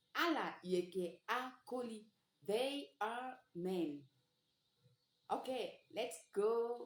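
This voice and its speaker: A woman's fairly high voice at a very slow pace with lively intonation. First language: Sango. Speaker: language teacher. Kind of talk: tutorial.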